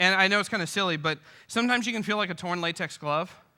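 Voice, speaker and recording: A man speaks very fast in a bright, sharp tone with ordinary pitch variation. The recording is very clean and the background silent. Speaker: pastor. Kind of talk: speaking reel, sermon-style storytelling to an audience. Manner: humorous, conversational.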